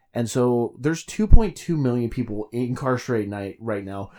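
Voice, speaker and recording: On a very clean recording with a silent background, a man speaks at medium pitch and a moderate pace, with ordinary pitch variation and a dark, mellow tone. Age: 20s. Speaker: podcast co-host. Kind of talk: casual chat.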